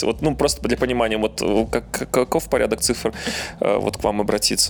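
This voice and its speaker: Noticeable noise sits in the background as a man talks at a moderate speed. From Belarus. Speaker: podcast co-host. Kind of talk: casual podcast chat.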